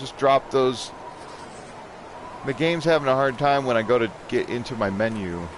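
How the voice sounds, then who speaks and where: Noticeable background noise sits under a man speaking at a moderate pace and medium pitch, with ordinary pitch variation and long, frequent pauses. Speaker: gaming streamer. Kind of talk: live gameplay commentary. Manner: sarcastic.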